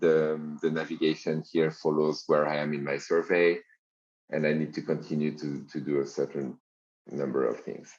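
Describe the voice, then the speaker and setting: With a very deep, low pitch, a man talks in a monotone, flat intonation. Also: moderate pace. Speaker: software company founder demoing a low-code platform. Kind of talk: software demo walkthrough. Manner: halting, many fillers and restarts.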